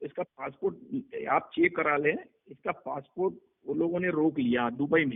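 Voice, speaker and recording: A man speaks in a normal speaking voice, fairly high in pitch, with lively intonation. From Mumbai, India. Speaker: underworld crime boss. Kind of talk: interview answer. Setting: phone line.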